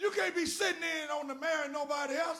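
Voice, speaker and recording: In a raised, projected voice, a man speaks at an extremely high pitch with an animated, bright, sharp tone and audible room echo. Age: 70s. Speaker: former state senator and guest speaker. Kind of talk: sermon. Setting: church.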